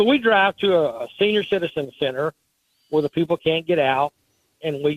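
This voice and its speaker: This man's voice sits high in pitch with ordinary variation. He speaks at a moderate pace. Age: 60s. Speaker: car show organizer. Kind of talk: radio interview. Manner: animated.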